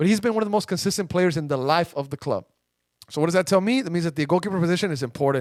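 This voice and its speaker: A man with a Spanish accent, high-pitched and animated, talking very fast with ordinary pitch variation. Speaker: soccer podcast host. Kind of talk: casual chat. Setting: studio.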